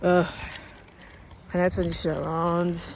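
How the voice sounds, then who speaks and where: A woman speaks in a fairly low voice against noticeable background noise. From Nigeria (Lagos). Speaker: vlogger. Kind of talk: casual vlog rant. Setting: outdoors, walking by a road. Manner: casual, rambling with many fillers.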